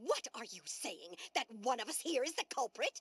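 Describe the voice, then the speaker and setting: A put-on character voice at a high pitch. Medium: video game. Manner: repetitive.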